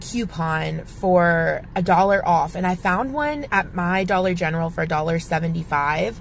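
Somewhat breathy, a woman speaks over light background noise. The sound is dry, with no echo. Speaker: couponing vlogger. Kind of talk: casual vlog chat. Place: car. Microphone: phone near.

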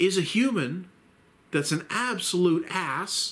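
The pace is very slow. The intonation is lively. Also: man. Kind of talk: casual commentary talk. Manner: rambling, hesitant.

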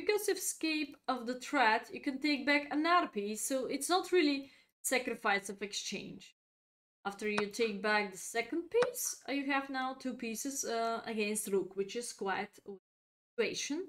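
A woman with a non-native accent speaks at a high pitch, her voice swinging very widely in pitch. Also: moderate pace. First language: not English. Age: 30s. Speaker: chess grandmaster and streamer; streamer. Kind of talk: chess lesson livestream. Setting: live stream.

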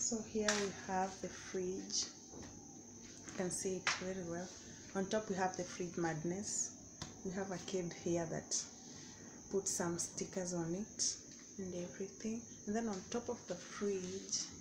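Noticeable background noise sits behind a woman talking at a fairly slow pace. She keeps a fairly even intonation and leaves long, frequent pauses. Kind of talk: casual vlog chat. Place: kitchen. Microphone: phone near.

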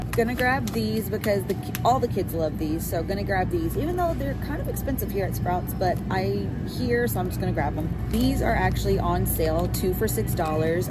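Clear music sounds in the background while a woman speaks at a fairly quick pace. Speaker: mother vlogger. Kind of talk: casual vlog chat. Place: shop. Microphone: phone near.

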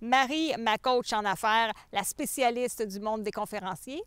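A normal speaking voice at a moderate pace with ordinary pitch variation, recorded dry and close with no echo, very clean and over a silent background. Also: woman. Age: 40s. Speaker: game show applicant, public speaker. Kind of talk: self-presentation video.

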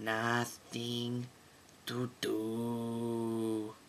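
A man uses a cartoonish character voice at a medium pitch, flat and monotone in intonation. Clear background noise runs behind him. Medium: puppet.

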